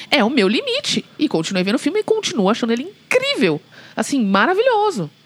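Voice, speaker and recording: A woman talks at a fairly quick pace in a high pitch, her pitch swinging very widely while her loudness stays very even. Noticeable background noise sits behind her. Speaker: podcast co-host. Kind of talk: casual chat.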